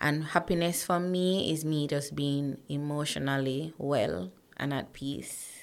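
A woman with a Jamaican accent speaks in a very deep, low voice with ordinary pitch variation. She keeps a fairly slow pace on a very clean recording with a silent background. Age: 30s. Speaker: corporate professional and motivational speaker. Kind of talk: casual interview.

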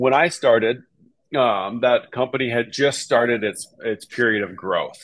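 A man with an American accent talks at a fairly slow pace in an ordinary speaking voice, with medium pitch and ordinary pitch variation. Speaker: real estate agent. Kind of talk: casual interview.

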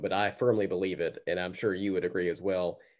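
Against a quiet background, a man talks very fast in a fairly low voice. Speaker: podcast host. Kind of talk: casual interview conversation.

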